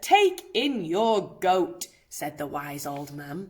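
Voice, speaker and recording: Growling in a put-on character voice, a woman speaks at a very slow pace with a fairly low pitch and lively intonation. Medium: read story.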